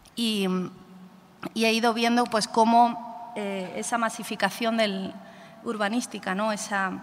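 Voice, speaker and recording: With an Andalusian accent, a woman speaks at a fairly slow pace and fairly high pitch in a monotone, flat way, leaving long, frequent pauses, with noticeable background noise behind her. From Andalusia, Spain (Málaga, Costa del Sol). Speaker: photographer and artist. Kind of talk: talk presenting own artwork to audience. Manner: hesitant, many fillers.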